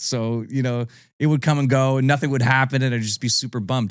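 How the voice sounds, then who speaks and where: Very fast speech from a man of medium pitch with a Canadian accent, on a very clean recording with a silent background. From Ontario, Canada (Niagara Falls). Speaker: country singer. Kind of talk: casual interview chat.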